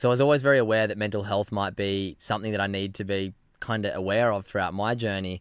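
In an Australian accent, a man talks very fast with a fairly low pitch and fairly even intonation. The recording is very clean with a silent background. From Australia, Sydney (Narrabeen). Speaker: former pro surfer, mental health advocate. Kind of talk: casual interview chat.

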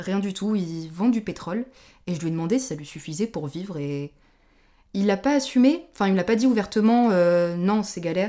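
A woman with a dark, mellow tone speaks at a moderate pace on a very clean recording with a silent background. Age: 20s. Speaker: guest traveller on gap year. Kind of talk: casual chat.

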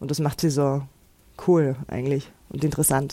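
A woman of very deep, low pitch with a dark, mellow tone, monotone, flat intonation and a moderate pace. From Austria, Innsbruck. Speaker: actress and author. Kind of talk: interview.

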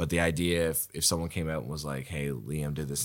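Speaking fairly quickly in a Nova Scotian accent, a man has a very deep, low pitch and fairly even intonation. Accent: Canadian (Nova Scotia). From Nova Scotia, Canada. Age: 20s. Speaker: improviser and comedian. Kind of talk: casual chat.

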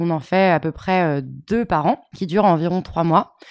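Speaking at a fairly slow pace, a woman with a fairly low pitch shows ordinary pitch variation on a very clean recording with a silent background. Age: 20s. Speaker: nonprofit co-president and data professional. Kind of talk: interview. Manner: hesitant, many fillers.

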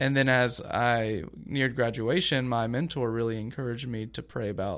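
Heard on a very clean recording with a silent background, a man speaks at a moderate pace with a medium pitch and an unremarkable speaking voice. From US South, Augusta, Georgia. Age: 20s. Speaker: youth pastor. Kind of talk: casual chat.

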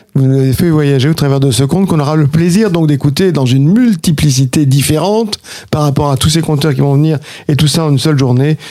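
A man talks at a very fast pace, his pitch fairly high with ordinary variation. His tone is dark and mellow, and his loudness stays very even. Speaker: radio host. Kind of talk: radio interview. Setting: radio studio.

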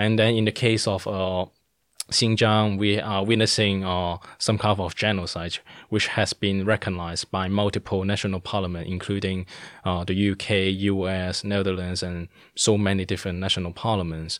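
The speech comes in a Cantonese accent at a moderate pace, with monotone, flat intonation. The recording is very clean, with a silent background. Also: man, fairly low pitch for a man. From Hong Kong. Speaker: political activist. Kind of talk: interview. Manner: hesitant, many fillers.

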